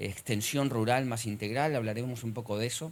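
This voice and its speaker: This man talks at a medium pitch with ordinary pitch variation and an Argentine accent. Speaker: economist, conference speaker. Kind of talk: conference lecture. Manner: frequent hesitations.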